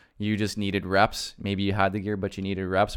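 The recording is very clean, with a silent background. A man with a Canadian accent speaks at a fairly quick pace. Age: 30s. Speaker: podcast host. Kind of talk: casual chat.

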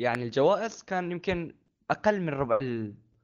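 With lively intonation, a man talks at a moderate pace in a normal speaking voice. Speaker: podcast co-host. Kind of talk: casual chat.

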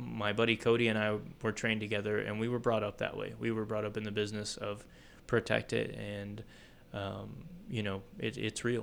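In a normal speaking voice, a man with a fairly low pitch speaks at a moderate pace with fairly even intonation. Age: 30s. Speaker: advertising creative and wrestler. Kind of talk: casual chat.

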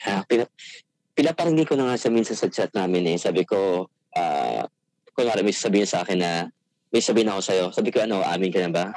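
A man with a fairly low pitch speaks at a very fast pace with lively intonation and very even loudness, in a dry, close sound with no echo. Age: 30s. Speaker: caller. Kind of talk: casual chat. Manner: halting.

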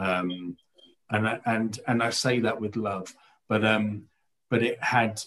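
A man talks at a very slow pace in a medium pitch. His intonation stays fairly even. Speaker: theatre critic, writer and director. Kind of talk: casual panel discussion. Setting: video call.

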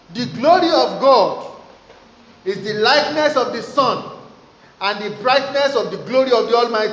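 Noticeable background noise runs through the clip. The intonation is lively. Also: man. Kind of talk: fervent prayer. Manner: loud, impassioned, urgent, with rising pitch and repeated Amens and Hallelujahs; commanding, declarative, preacher-like.

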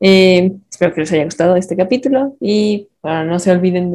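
A woman's mid-range voice unfolds fairly slowly, its pitch rising and falling in a normal way. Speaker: podcast host and moderator. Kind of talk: casual chat.

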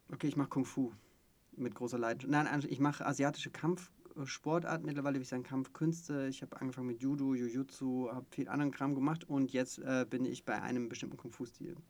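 This man talks with fairly even intonation at a medium pitch and a very fast pace. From Stuttgart area, Swabia. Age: 30s. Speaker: podcast co-host, coach. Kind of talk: casual chat.

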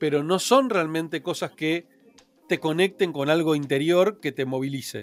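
The speech has ordinary pitch variation and a moderate pace, with music in the background. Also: man, fairly high pitch for a man. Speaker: entrepreneur. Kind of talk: interview.

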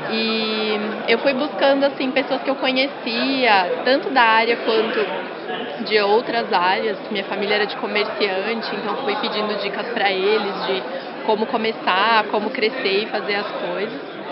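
A woman's fairly high voice at a fairly slow pace, with audible room echo and crowd noise in the background. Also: fairly even intonation. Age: 20s. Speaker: digital marketing agency founder. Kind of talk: interview.

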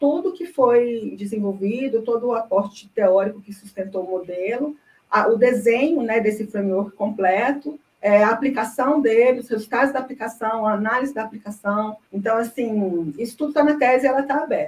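The somewhat breathy voice keeps a moderate pace with hardly any pauses and ordinary pitch variation. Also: woman, fairly high pitch for a woman. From Brazil, Goiânia (Goiás). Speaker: information science researcher and project management consultant. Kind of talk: interview.

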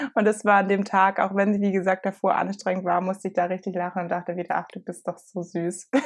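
A woman speaks very fast at a medium pitch, with hardly any pauses. Her intonation is monotone and flat. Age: 20s. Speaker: podcast co-host. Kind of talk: casual chat.

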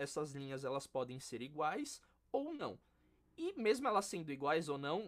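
This is a man talking. His pace is moderate. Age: 20s. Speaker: percussionist and music educator. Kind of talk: casual interview chat.

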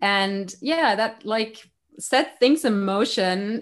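A woman speaks with a German accent. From Germany. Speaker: life coach. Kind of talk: interview. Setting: remote call.

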